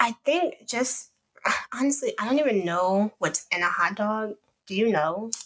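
Lively intonation from a woman with a fairly high pitch, at a fairly slow pace. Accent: Chicago. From Chicago. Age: 20s. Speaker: podcast co-host. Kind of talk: casual chat.

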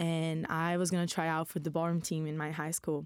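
Here is a woman with a Brazilian accent. Her pitch is fairly low. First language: Portuguese. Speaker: university student. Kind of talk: casual panel discussion.

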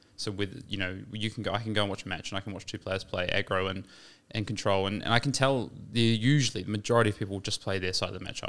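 Speaking very fast with a New Zealand accent, a man keeps his fairly low pitch fairly even, on a very clean recording with a silent background. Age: 20s. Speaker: competitive card game player. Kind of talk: casual chat.

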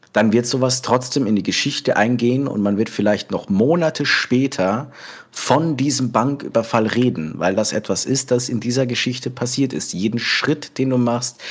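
Medium pitch from a man, varying in an ordinary way. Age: 20s. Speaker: cook and role-play gamer. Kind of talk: casual interview. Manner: hesitant, many fillers.

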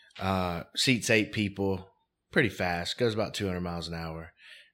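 A man with an American accent speaks at a moderate pace in a very deep, low pitch, his bright, sharp tone carrying fairly even intonation over a very clean recording with a silent background. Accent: own accent, presumably Southern. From US South, Mobile, Alabama. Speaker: real estate investor. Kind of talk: interview.

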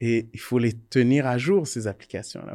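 Very clean, silent recording of a man at a medium pitch, moderate pace and dark, mellow tone. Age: 40s. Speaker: electrical engineer and entrepreneur. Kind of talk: casual interview discussion.

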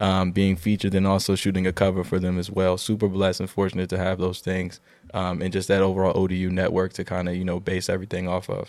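The speech runs very fast in a flat, monotone delivery. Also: man, very deep, low pitch for a man. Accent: American. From Virginia, Lynchburg. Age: 20s. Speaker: photographer and entrepreneur. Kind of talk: casual chat.

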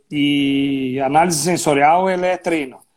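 A man in a southern Brazilian accent speaks with ordinary pitch variation. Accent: gaúcho Brazilian Portuguese. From Rio Grande do Sul, Brazil (Serra Gaúcha). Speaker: winemaker. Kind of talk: casual chat.

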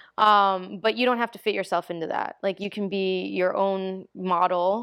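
A woman speaks with an American accent and a normal speaking voice. Her intonation stays fairly even. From New York, the Bronx. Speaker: DJ. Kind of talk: casual chat.

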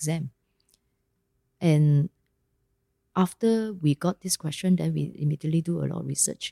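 A woman with a Malaysian accent talks at a moderate pace in a dark, mellow, somewhat breathy tone. The sound is dry and close, with no echo. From Ipoh, Malaysia. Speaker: company CEO. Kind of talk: casual interview. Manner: casual, uses Malaysian 'lah'.

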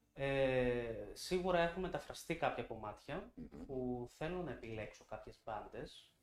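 A fairly high-pitched man with lively intonation at a fairly slow pace, over noticeable background noise. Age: young. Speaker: singer. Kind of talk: interview. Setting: studio. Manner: calm.

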